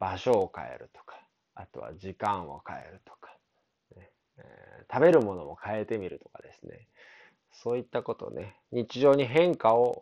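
Against a quiet background, a man speaks at a moderate pace. His loudness swings widely, and the sound is dry and close with no echo. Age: 30s. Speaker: consultant. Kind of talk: solo podcast monologue. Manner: casual, filler-heavy.

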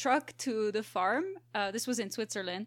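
On a very clean recording with a silent background, a woman speaks at a moderate pace with a fairly high pitch and an unremarkable speaking voice. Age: 20s. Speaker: biologist. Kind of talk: casual chat.

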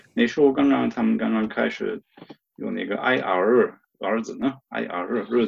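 At a moderate pace, a man talks with a German accent. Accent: German accent in Mandarin. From Germany. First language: German (speaking Chinese). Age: 50s. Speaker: stuttering advocate. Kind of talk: interview. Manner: halting.

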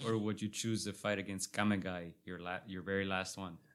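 The recording is very clean, its background silent. A man talks in a bright, sharp tone. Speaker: podcast host. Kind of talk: casual chat. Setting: studio.

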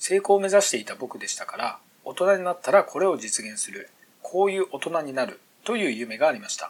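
Loudness swings widely as a man speaks at a fairly quick pace. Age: 40s. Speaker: entrepreneur podcaster. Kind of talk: solo monologue podcast.

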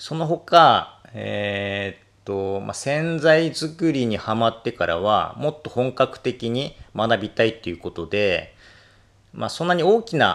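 On a very clean recording with a silent background, a man at a medium pitch talks at a fairly slow pace with very wide pitch swings. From Japan, Akita. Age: 40s. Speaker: detergent maker and cleaning expert. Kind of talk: solo podcast monologue. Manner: halting, many fillers.

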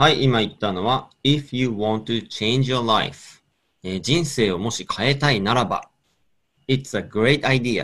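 A man with an ordinary speaking voice, ordinary pitch variation and a fairly slow pace. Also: medium pitch for a man. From Hokkaido, Japan. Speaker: radio host. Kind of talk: radio interview chat.

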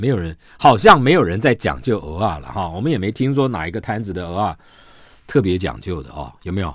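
Speaking at a fairly quick pace, a man with a very deep, low pitch, vocal fry, very wide pitch swings and big swings in loudness comes through on a very clean recording with a silent background. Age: 60s. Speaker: radio host. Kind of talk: casual chat.

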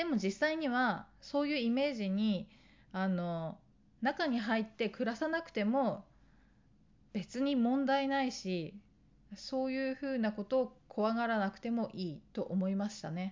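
A woman speaks with an ordinary speaking voice at a fairly slow pace. Her pitch is fairly high and her intonation is lively. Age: 40s. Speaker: lifestyle YouTuber. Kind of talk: casual monologue.

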